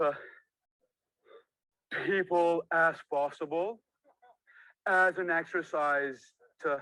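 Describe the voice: A man's bright, sharp tone at a slow pace, intonation fairly even. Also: fairly high pitch for a man.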